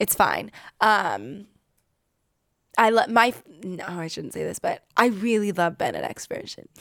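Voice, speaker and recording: A Californian accent with vocal fry, lively intonation and long, frequent pauses at a fairly slow pace, on a very clean recording with a silent background. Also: woman, medium pitch for a woman. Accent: Californian American English. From US West Coast, San Diego, California. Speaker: singer. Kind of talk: interview.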